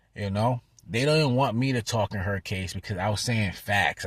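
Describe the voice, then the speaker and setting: Recorded very cleanly against a silent background, a man's somewhat breathy voice, fairly low in pitch with lively intonation, comes through dry and close with no echo. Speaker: vlogger. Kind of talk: vlog update. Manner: fast.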